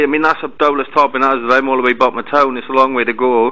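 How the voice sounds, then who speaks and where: With a Welsh accent, a man talks very fast at medium pitch in a bright, sharp tone. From Wales, Merthyr Tydfil; Wales. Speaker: caller. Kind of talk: complaint phone call. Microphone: poor audio quality; phone line.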